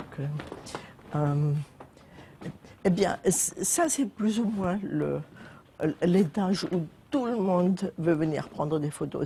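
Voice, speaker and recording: Through noticeable background noise, a woman with a fairly low pitch and ordinary pitch variation speaks at a very slow pace. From Germany, Zweibrücken (western Germany). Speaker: building owner. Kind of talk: casual chat. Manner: halting.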